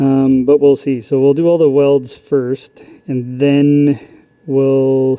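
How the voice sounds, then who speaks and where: A man at a fairly high pitch, monotone, with flat intonation. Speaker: welding instructor. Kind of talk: tutorial. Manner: loud. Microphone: phone taped in welding helmet, very close.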